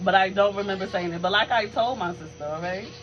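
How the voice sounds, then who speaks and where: A woman in an animated tone at a medium pitch and fairly quick pace, over noticeable background noise. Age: 20s. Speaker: podcast co-host. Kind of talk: casual chat.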